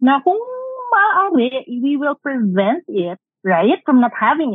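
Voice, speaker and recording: A woman with a Filipino accent speaks very slowly, her pitch swinging very widely. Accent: Filipino English with Tagalog code-switching. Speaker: doctor specializing in women's health. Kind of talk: casual chat.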